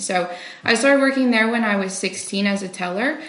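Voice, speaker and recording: A woman with a medium-pitched voice talks at a moderate speed while background noise stays noticeable. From Walkerton. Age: 20s. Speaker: pastor's child, finance worker. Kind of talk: interview testimony. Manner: frequent fillers.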